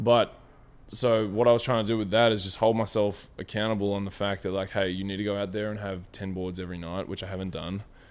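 A man talks very fast in an Australian accent. His fairly low voice stays flat and monotone. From Australia, Victoria and southern New South Wales. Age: 20s. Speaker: professional basketball player. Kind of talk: casual interview chat. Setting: outdoors.

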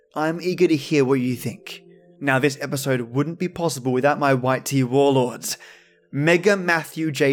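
With an Australian accent, a man speaks at a fairly high pitch. His pitch variation is ordinary. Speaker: podcast host. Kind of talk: scripted narration.

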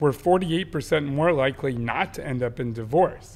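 A man uses an ordinary speaking voice with lively intonation. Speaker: podcast co-host. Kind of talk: casual chat between couple, podcast.

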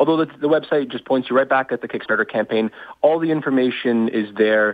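In a Canadian accent, a man talks at medium pitch with ordinary pitch variation and a plain, everyday voice. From Canada. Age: young. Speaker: inventor and startup founder. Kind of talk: interview.

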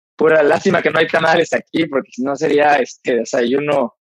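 A man with a Mexican accent speaks at a fairly quick pace in a fairly high pitch, with a dry, close sound with no echo. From Mexico. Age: 40s. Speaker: Ironman triathlete and businessman. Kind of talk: interview conversation.

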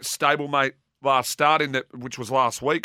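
The man's voice is fairly high-pitched, with a bright, sharp tone. He talks at a moderate pace on a very clean recording with a silent background. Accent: Australian. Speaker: racing analyst. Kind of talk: racing form analysis and tips.

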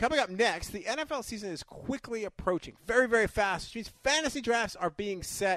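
A man with a high pitch and a bright, sharp tone talks at a moderate pace with hardly any pauses. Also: ordinary pitch variation, dry, close sound with no echo. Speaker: radio host. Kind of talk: casual sports talk radio. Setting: radio studio.

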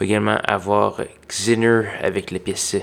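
With a Quebec accent, a man speaks very slowly at a fairly low pitch in a monotone, flat intonation, on a very clean recording with a silent background. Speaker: college radio DJ. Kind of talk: radio DJ patter: brisk, friendly show intro and back-announce. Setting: radio studio. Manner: relaxed, conversational, informal with a few filler hesitations.

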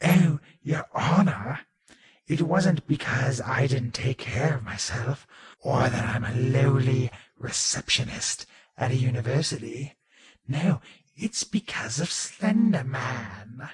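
Using a raspy put-on character voice at a medium pitch, a man speaks at a fairly slow pace. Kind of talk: comic overacting. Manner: haughty, campy, condescending.

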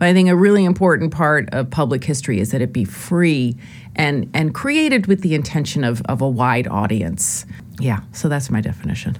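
Delivered at a fairly quick pace with very wide pitch swings, the voice sits over noticeable background noise. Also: woman, very deep, low pitch for a woman. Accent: American. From New York, lower Westchester County. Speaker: history professor. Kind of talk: interview. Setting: studio.

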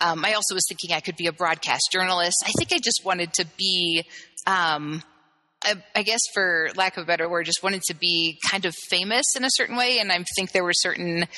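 Ordinary pitch variation runs through a woman's talk in a plain, everyday voice. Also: fairly low pitch for a woman, fairly quick pace. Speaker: gender therapist. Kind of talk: interview conversation.

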